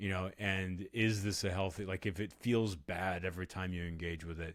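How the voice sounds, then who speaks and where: Speaking at a moderate pace, a man with a very deep, low pitch and an American accent keeps a monotone, flat intonation. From Texas, Austin. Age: 40s. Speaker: author and podcaster. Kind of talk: interview conversation.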